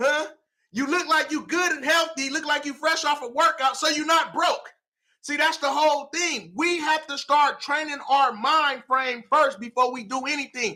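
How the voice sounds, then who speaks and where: A man shouting in a raised, projected voice, extremely high-pitched, animated, with a bright, sharp tone. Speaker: motivational speaker. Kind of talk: motivational talk. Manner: loud, yelling.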